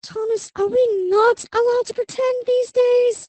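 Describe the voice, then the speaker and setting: In a put-on character voice that is squeaky and extremely high, a woman speaks at a moderate pace with monotone, flat intonation, in a dry, close sound with no echo. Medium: machinima. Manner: cheerful, teasing.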